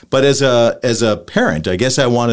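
A man talks at a medium pitch, his voice showing vocal fry. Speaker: podcast host. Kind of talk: casual interview.

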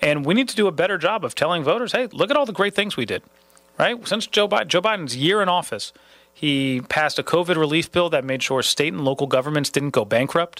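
Lively intonation and a high pitch mark this man's fairly quick delivery. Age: 30s. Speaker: political candidate. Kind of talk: interview.

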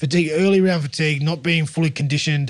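A man speaks with an Australian accent. His pitch sits fairly high. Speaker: rugby league pundit, former player. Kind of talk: casual chat.

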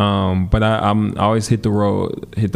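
Noticeable background noise behind a man's American accent, delivered at a moderate pace. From US Midwest, Milwaukee. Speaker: musician and dance teacher. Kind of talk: interview.

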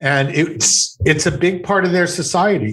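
With a Canadian accent, a man speaks at a moderate pace in a somewhat breathy voice with ordinary pitch variation. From Montreal, Quebec. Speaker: psychotherapist. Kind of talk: interview. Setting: video call.

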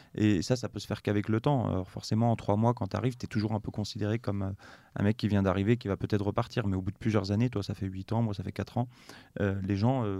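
A man's fairly low, dark, mellow voice at a very fast pace with fairly even intonation, dry and close with no echo, in a very clean recording with a silent background. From western France (Nantes). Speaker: consultant and NGO founder. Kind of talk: interview conversation.

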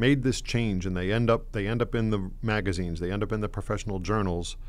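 A man with an American accent talks at a fairly quick pace, his pitch varying in an ordinary way. Audible room echo surrounds the recording. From Connecticut, East Hartford. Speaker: school superintendent. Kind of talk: radio interview. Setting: studio. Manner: halting, many fillers and repetitions.

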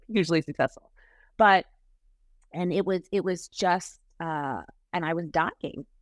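Fairly low in pitch, a woman talks with fairly even intonation and long, frequent pauses. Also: fairly slow pace. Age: 40s. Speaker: writer and online creator, former actress. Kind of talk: casual interview. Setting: remote video call. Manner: halting, many restarts.

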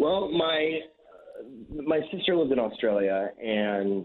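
Lively in intonation, a man speaks with an American accent. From Kansas, US (Wichita). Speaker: chef. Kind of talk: interview. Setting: phone call. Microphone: phone breaking up.

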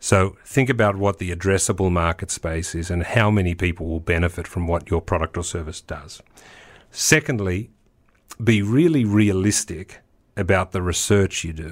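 A very deep, low male voice with ordinary pitch variation. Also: moderate pace. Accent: Australian. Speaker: tech entrepreneur and investor. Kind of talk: interview.

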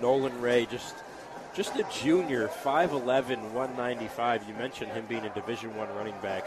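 An American-accented man talks in an excited tone over noticeable background noise. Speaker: play-by-play sports announcer. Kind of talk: live high school football play-by-play commentary. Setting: stadium broadcast booth. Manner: excited, run-on narration of a touchdown run.

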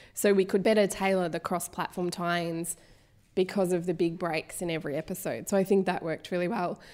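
A woman at a fairly quick pace and fairly low pitch, monotone and flat in intonation, on a very clean recording with a silent background. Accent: Australian. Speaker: broadcast journalist and podcast presenter. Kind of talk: live on-stage interview. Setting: live event stage with audience.

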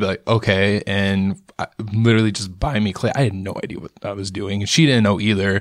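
A man's fairly low voice with an American accent, fairly even intonation and a fairly slow pace, in a dry, close sound with no echo. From US Midwest, Rockford, Illinois. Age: 20s. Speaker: painter and illustrator. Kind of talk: casual interview. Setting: studio. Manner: casual, laid-back.

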